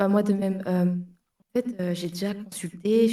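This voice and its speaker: A woman speaks at a moderate pace in a medium pitch, her tone dark and mellow. Her voice is somewhat breathy. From southern France. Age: 30s. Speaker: caller. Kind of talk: casual chat. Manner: halting.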